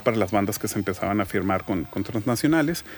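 Music plays in the background as a man talks, his pitch varying in an ordinary way. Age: 40s. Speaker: graphic designer. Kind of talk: casual interview.

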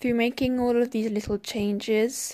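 An unremarkable speaking voice from a woman, fairly even in intonation at a moderate pace, over a very clean, silent background. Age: 20s. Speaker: podcast host, English teacher. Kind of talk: solo podcast monologue.

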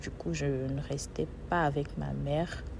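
A woman is speaking. Room echo is audible. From Benin. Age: 20s. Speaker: podcast host and author. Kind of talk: personal testimony.

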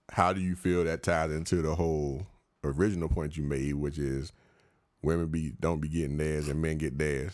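Speaking with an American accent, a man has a very deep, low pitch. His pace is moderate. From Washington DC. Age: 30s. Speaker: podcast host. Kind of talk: casual chat. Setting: studio. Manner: animated.

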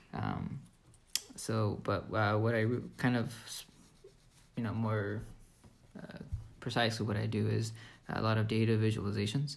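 A man's fairly low, somewhat breathy voice at a moderate pace, flat and monotone, with long, frequent pauses and audible room echo. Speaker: podcast co-host, database reporting worker. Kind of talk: casual chat.

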